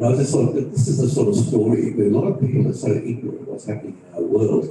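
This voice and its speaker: A man speaks over noticeable background noise. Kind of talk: panel talk. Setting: stage with audience, live streamed.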